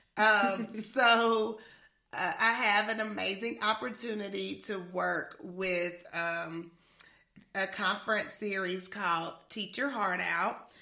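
Speaking very slowly, a woman has a bright, sharp tone at medium pitch. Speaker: podcast co-host and education leadership trainer. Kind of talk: casual chat. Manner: animated.

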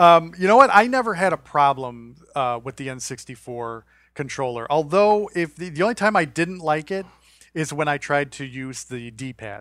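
An ordinary speaking voice moves at a moderate pace with lively intonation and big swings in loudness. The recording is very clean, with a silent background. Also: man, fairly high pitch for a man. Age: 40s. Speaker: podcast host. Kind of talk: casual chat.

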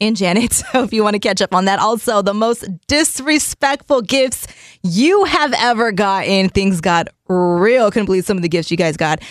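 A woman speaks at a moderate pace with lively intonation and very even loudness. Hers is an ordinary speaking voice, medium in pitch. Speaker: radio host. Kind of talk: radio DJ patter, reading texts and news. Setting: radio studio. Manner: chatty, upbeat.

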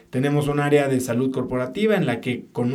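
A man's speech, moving at a moderate pace, carries audible room echo. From Mexico City. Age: 40s. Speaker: entrepreneur and podcaster. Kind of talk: interview conversation.

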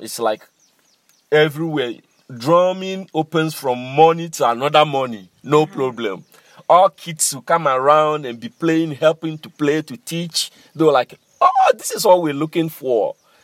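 In an Ghanaian accent, the speaker talks at a moderate pace with ordinary pitch variation and big swings in loudness. The sound is dry and close with no echo, on a very clean recording against a silent background. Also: man, fairly high pitch for a man. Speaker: master drummer and cultural center director. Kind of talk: interview.

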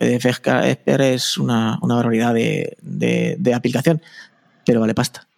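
The recording of a man's voice sounds dry and close, with no echo. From Spain, Albacete. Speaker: podcaster. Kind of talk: casual chat. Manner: fast.

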